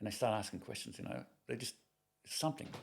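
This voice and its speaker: A man with an Australian accent talks at a very fast pace. His voice has vocal fry. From Sydney, Australia. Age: 60s. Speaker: retired police officer and hunter. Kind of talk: casual chat. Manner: halting.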